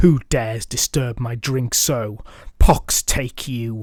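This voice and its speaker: A man puts on a booming character voice at a medium pitch, speaking at a fairly slow pace. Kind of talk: archaic. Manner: indignant, menacing.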